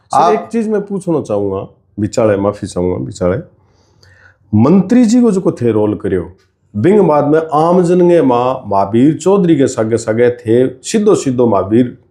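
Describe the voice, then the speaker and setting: Here a man speaks at a medium pitch with a dark, mellow tone. His pitch swings very widely. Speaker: writer, journalist, podcast host. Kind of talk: podcast interview questions.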